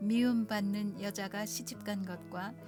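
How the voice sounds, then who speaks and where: A woman speaks at a medium pitch and a very slow pace. Music plays in the background. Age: 60s; old. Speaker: pianist, pastor's wife. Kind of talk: Bible reading over piano.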